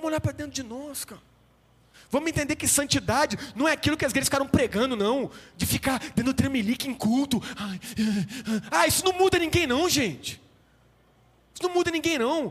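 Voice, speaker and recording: A man speaks at an extremely high pitch with ordinary pitch variation. His pace is fairly quick, broken by long, frequent pauses. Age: 30s. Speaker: pastor. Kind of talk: sermon. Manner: animated.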